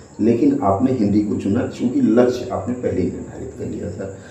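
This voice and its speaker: A man talks with a medium pitch. Audible room echo surrounds his voice. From West Bengal, jute industrial area. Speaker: exam coaching interviewer. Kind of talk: interview. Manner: hesitant with filler sounds.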